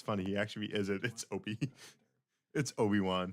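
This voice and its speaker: A man's fairly low voice moves along at a moderate speed. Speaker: tournament stream commentator. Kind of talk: live commentary. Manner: loud.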